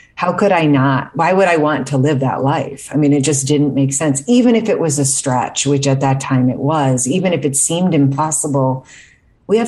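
This woman has a very deep, low pitch with ordinary pitch variation. She talks at a moderate pace. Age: 50s. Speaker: author and mental health activist. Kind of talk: interview. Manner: polite.

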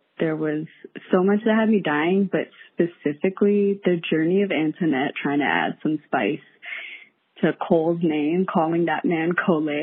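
Using a plain, everyday voice, a woman talks at a moderate pace with a fairly low pitch and ordinary pitch variation. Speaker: listener caller. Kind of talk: voicemail. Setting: phone call.

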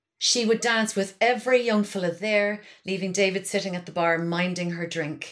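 A woman's medium-pitched voice in a Cork accent, fairly even in intonation, at a moderate pace. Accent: Cork Irish. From Ireland, Kinsale, County Cork. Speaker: comedian and writer. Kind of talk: casual chat. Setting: remote, at her mother's house.

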